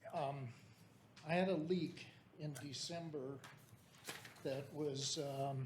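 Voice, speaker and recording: Somewhat breathy and fairly high-pitched, a man speaks at a very slow pace with long, frequent pauses while room echo is audible. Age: 70s. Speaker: member of the public, retired engineer. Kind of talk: public comment at a meeting. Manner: halting.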